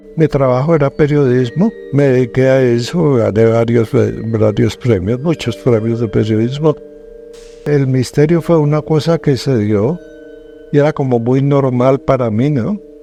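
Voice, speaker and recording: Music plays behind a medium-pitched man who talks at a fairly slow pace with ordinary pitch variation and very even loudness. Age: 70s. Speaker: paranormal TV journalist. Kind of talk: interview testimony.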